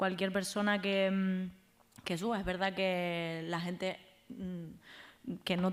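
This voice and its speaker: The intonation is monotone and flat. A woman speaks at a medium pitch. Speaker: biologist and activist. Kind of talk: live podcast interview. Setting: live event with audience. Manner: halting.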